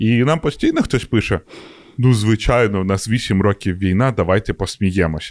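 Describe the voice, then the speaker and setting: A man with a plain, everyday voice talks at a moderate pace at fairly low pitch, with ordinary pitch variation, very even loudness, and a dry, close sound with no echo. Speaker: podcast co-host. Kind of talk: casual chat.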